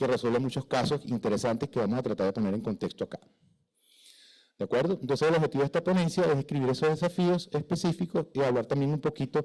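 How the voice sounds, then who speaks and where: In a very clean recording with a silent background, a man talks at a very fast pace with a dark, mellow tone and lively intonation. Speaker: fire protection engineer. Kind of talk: conference lecture. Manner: halting, stutters from nerves; conversational, informal.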